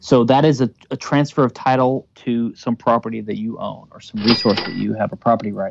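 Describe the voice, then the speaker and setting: In an American accent and a normal speaking voice, a man talks at medium pitch and a fairly quick pace, with fairly even intonation, big swings in loudness, and a dry, close sound with no echo. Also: hardly any pauses. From US South, Louisiana. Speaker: libertarian legal theorist. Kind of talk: interview.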